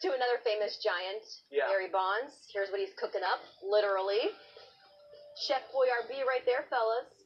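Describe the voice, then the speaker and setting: Over music in the background, a woman speaks at a moderate pace in a high pitch. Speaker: TV show host. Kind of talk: studio banter and segment intro. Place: studio.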